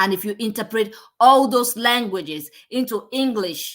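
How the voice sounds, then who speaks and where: A woman speaks at a medium pitch in a very clean recording, the background silent. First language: non-English native language. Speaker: podcast host. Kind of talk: commentary on video clips. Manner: animated.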